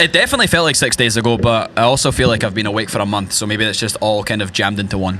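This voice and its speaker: Someone in a Scottish accent talks at a very fast pace with hardly any pauses and ordinary pitch variation. Noticeable background noise runs underneath. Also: man, fairly low pitch for a man. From rural Scotland. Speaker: country musician. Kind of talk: casual chat. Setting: stage with audience.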